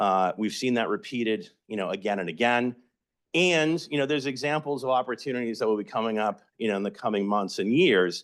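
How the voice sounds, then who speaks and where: An unremarkable speaking voice from a man with an American accent, medium pitch, lively intonation and a fairly quick pace, against a quiet background. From Massachusetts (Somerville, Boston area). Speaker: housing advocate presenter. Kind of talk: educational presentation.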